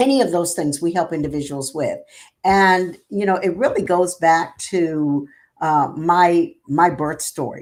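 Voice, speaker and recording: In a very clean recording with a silent background, a woman with an American accent uses an ordinary speaking voice, fairly low in pitch, with ordinary pitch variation at a fairly slow pace. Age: 60s. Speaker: nonprofit executive. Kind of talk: interview.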